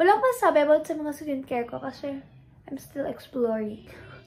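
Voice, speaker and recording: The pitch moves in an ordinary way. The speaker is a woman. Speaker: beauty vlogger. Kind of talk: casual vlog tutorial.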